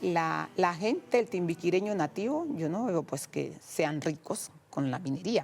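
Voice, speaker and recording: With music in the background, a woman speaks in a Colombian Pacific coast accent. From Pacific coast of Cauca, Colombia. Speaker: traditional cook and singer. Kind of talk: interview answer.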